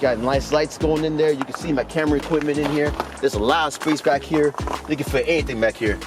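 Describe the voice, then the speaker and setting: A man's fairly high voice at a very fast pace, fairly even in intonation, with music in the background. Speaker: car reviewer. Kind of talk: car walkaround review. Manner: casual, slangy.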